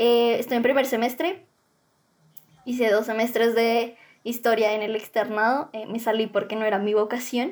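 At a moderate pace, a woman talks in a fairly high voice with fairly even intonation. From Colombia, Bogotá. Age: young. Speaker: education student. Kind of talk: interview.

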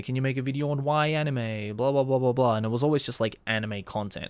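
A man at a medium pitch, a fairly quick pace and ordinary pitch variation on a very clean recording with a silent background. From Australia, Sydney. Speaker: YouTuber and voice actor. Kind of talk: casual interview.

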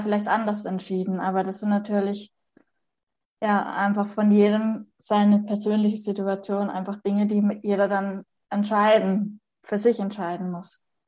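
A woman speaks in a medium-pitched, somewhat breathy voice. Her delivery is monotone and flat at a moderate pace. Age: 30s. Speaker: person with Turner syndrome sharing her story. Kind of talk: interview testimony.

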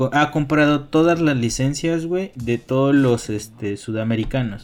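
On a very clean recording with a silent background, the speaker talks at a fairly slow pace with a Mexican accent. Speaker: video game podcast co-host. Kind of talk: casual chat.

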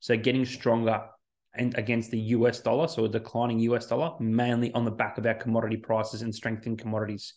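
Against a quiet background, the speaker rushes along at a very fast pace in an Australian accent with monotone, flat intonation. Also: man, medium pitch for a man. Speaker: financial planner. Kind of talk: solo economic update podcast. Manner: casual, conversational with fillers.

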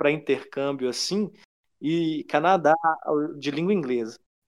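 On a very clean track with a silent background, a man talks, his pitch varying in an ordinary way. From São Domingos do Prata, Minas Gerais, Brazil. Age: 30s. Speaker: civil servant and traveller. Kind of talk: casual chat.

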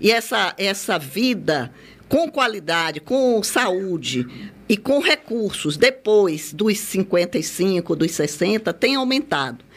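A woman talks at a very slow pace in a medium pitch. Her pitch swings very widely. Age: 60s. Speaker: lawyer and senior-care network founder. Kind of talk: radio interview.

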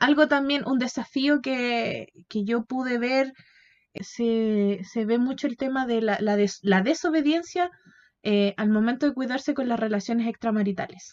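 With a Chilean accent, a woman speaks at a fairly slow pace in a high pitch. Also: ordinary pitch variation. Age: 20s. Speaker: podcast co-host. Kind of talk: casual Bible study chat.

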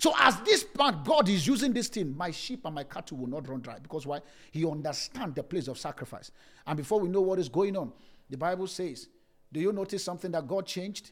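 Pitch swings very widely as the speaker goes at a fairly quick clip. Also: man. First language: not English. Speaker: pastor. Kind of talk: sermon. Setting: church service, streamed live with a few people present.

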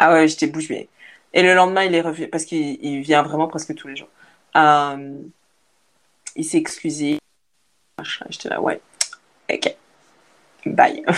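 A woman speaks at a fairly slow pace with long, frequent pauses. Her loudness swings widely. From Belgium. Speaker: content creator. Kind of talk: casual chat. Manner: halting.

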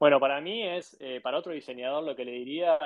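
This man has an Argentine accent and a fairly high pitch. He talks at a moderate pace with ordinary pitch variation. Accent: Argentine Spanish (Rioplatense). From Argentina. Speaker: graphic designer and design studio CEO. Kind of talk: interview. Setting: live audio room on social media.

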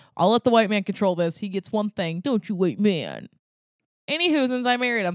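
Animated and lively in intonation, a woman at medium pitch talks at a fairly quick pace in a dry, close sound with no echo. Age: 20s. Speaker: podcast co-host. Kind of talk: casual chat. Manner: animated, laughing often.

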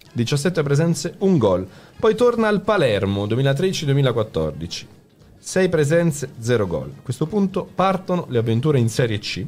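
This man talks at a fairly slow pace in a fairly high, somewhat breathy voice. His pitch swings very widely. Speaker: podcast host. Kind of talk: casual chat. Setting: studio.

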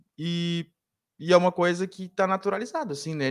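A man with a fairly high pitch talks at a moderate pace in an ordinary speaking voice. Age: 30s. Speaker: sports journalist. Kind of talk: casual sports debate. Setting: live online show.

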